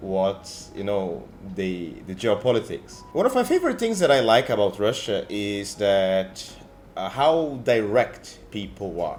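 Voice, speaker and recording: With music in the background, a man of medium pitch speaks at a fairly slow pace. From Latin America. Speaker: travel vlogger. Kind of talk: casual vlog monologue. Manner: halting, with self-corrections.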